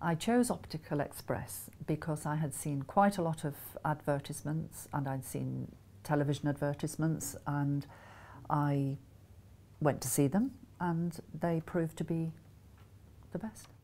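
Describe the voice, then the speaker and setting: In a very clean recording with a silent background, a woman with a Scottish accent speaks at a fairly slow pace in a very deep, low voice with a dark, mellow tone, leaving long, frequent pauses. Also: ordinary pitch variation. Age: 60s. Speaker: patient giving a testimonial. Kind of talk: testimony. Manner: casual, with hesitations.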